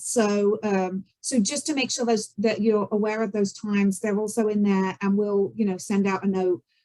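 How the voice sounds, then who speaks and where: The speaker has a British accent. Pitch varies in an ordinary way. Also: woman. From Britain. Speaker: event organizer. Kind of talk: event briefing. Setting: video call. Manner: hesitant, many fillers.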